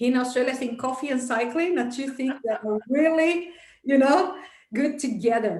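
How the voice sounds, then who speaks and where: A woman with a Portuguese accent speaks at a high pitch with ordinary pitch variation amid audible room echo. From Brazil. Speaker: entrepreneur, business coach. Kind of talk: interview.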